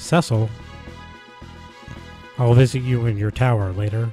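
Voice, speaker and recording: Medium-pitched man at a fairly slow pace, with music in the background. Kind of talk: reading a game's story and dialogue aloud. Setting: game sounds audible in the background. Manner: soft-spoken, calm.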